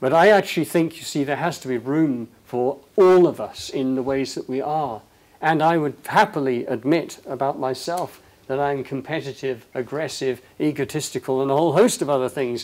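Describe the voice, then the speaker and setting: Here is a normal speaking voice, delivered at a moderate tempo. Its pitch varies in an ordinary way. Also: man, fairly high pitch for a man. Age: 60s. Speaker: leadership speaker. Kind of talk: public talk.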